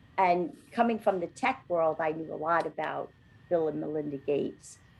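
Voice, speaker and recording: A woman speaks at a fairly low pitch with ordinary pitch variation. Vocal fry runs through her voice. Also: moderate pace. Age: 60s. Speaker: podcast co-host. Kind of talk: casual chat.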